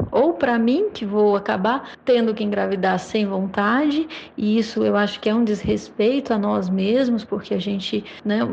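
A woman speaks with lively intonation. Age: 30s. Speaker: lawyer. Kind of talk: testimony. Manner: halting.

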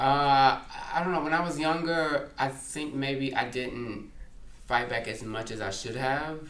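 Someone with an American accent speaks at a fairly slow pace with ordinary pitch variation, and audible room echo surrounds the voice. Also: man, fairly high pitch for a man. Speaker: writer and culture critic. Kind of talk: casual interview chat.

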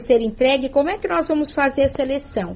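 A woman's high voice with lively intonation. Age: 50s. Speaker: human resources manager. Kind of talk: radio interview.

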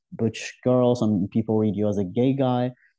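Over a quiet background, a man talks at a medium pitch and moderate pace. His tone is dark and mellow, with ordinary pitch variation. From Algeria. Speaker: artist. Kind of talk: interview.

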